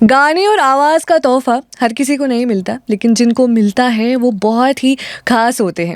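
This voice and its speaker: A woman's fairly high-pitched voice, a normal speaking voice. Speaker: radio host. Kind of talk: radio talk show hosting.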